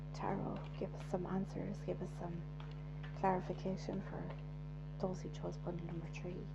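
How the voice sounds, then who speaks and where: A soft-spoken woman in a calm tone at a moderate pace, with noticeable background noise. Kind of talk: soft-spoken tarot reading. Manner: soft-spoken, calm.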